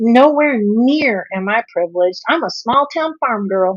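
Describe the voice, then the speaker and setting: Speaking slowly-ish, a woman uses lively intonation. She has an American accent. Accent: Southern drawl, toned down. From US South. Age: 50s. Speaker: health and nutrition coach. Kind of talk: livestream talk to viewers. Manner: animated.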